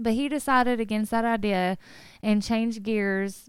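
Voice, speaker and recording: A normal speaking voice on a very clean recording with a silent background. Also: woman. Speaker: podcast co-host. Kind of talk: casual podcast chat and narrated case retelling. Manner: laughs often, upbeat.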